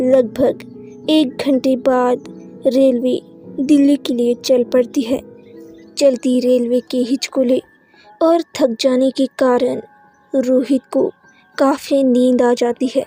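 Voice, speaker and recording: A woman's high voice with fairly even intonation and long, frequent pauses, dry and close with no echo, music in the background. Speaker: voice-over artist. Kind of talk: horror story narration.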